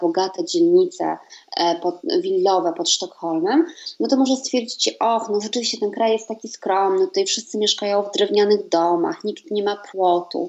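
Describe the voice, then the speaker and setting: With a fairly high pitch, this woman's voice rises and falls in very wide swings. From Poland. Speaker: writer and translator. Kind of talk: interview.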